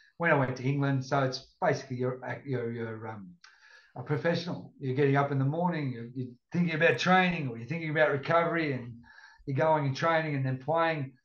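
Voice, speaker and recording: A man talks very fast in a fairly high, somewhat breathy voice. His intonation stays fairly even. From Australia, Northern Rivers NSW. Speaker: retired rugby league player. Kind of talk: casual chat.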